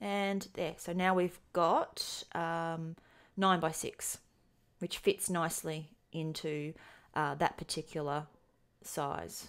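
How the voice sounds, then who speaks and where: In a very clean recording with a silent background, a woman with an Australian accent talks at a very slow pace with a fairly low pitch, monotone, flat intonation and long, frequent pauses. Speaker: programming tutorial instructor. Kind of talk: tutorial. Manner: hesitant, many filler ums.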